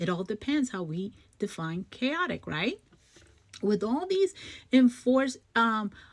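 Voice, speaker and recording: A woman speaks fairly slowly in a somewhat breathy voice, with lively intonation and an animated tone. The recording is very clean, with a silent background. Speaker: social media commentator. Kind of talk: direct-to-camera commentary.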